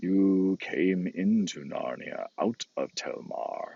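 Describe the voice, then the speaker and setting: A man does a growling, put-on character voice. He speaks at a very slow pace. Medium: read story. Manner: solemn, commanding.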